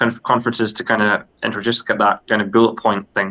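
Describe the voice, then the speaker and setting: A man's bright, sharp voice in a flat monotone. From Scotland. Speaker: podcast co-host. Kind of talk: casual discussion. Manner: halting, many fillers.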